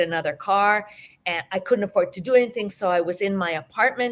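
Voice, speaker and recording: Using a normal speaking voice, a woman with a Canadian accent talks fairly quickly at a medium pitch and with fairly even intonation. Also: very clean recording, silent background. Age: 60s. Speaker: teacher and hypnotherapist. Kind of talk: interview.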